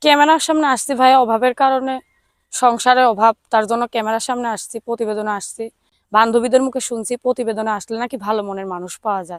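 A woman with a plain, everyday voice speaks at a fairly high pitch with fairly even intonation, recorded very cleanly against a silent background. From Bangladesh, Tangail. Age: 19. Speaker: domestic worker seeking a marriage partner. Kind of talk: interview.

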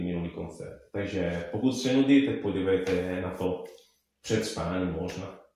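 With strong room echo and light background noise, a man speaks at a moderate pace in a very deep, low pitch with ordinary pitch variation. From Italy. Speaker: musician and Italian teacher. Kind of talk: interview answer. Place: home room.

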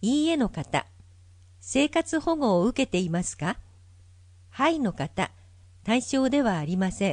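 A woman with a fairly high pitch and a somewhat breathy voice swings her pitch very widely at a fairly slow pace, leaving long, frequent pauses. The background is quiet and the sound dry and close, without echo. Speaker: volunteer narrator for visually impaired. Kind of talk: reading aloud. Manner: formal.

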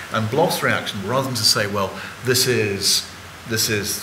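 A man talks with ordinary pitch variation. Noticeable background noise sits under his voice. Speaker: guest. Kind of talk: panel talk, lecture-like explanation. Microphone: podium.

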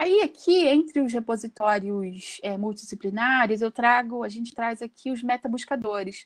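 Against a quiet background, a woman with a fairly high voice speaks at a moderate pace with ordinary pitch variation and hardly any pauses. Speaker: workshop presenter, researcher; presenter. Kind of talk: lecture. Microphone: video call.

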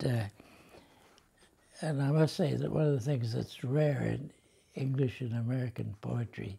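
Somewhat breathy and dark, mellow in tone, a man's medium-pitched voice moves at a moderate pace with ordinary pitch variation. He leaves long, frequent pauses. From United States. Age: 80s+. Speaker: poet. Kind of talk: interview answer. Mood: reflective, moved. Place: home room.

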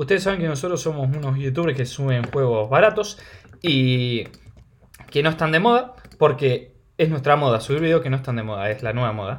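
In a Rioplatense accent, a man with a fairly high pitch talks at a fairly quick pace in an animated tone. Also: lively intonation. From Argentina. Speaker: gaming youtuber. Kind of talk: gameplay commentary.

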